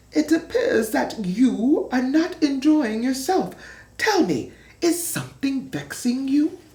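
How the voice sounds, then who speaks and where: The speaker puts on a high-pitched character voice and talks at a fairly slow pace. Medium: read story.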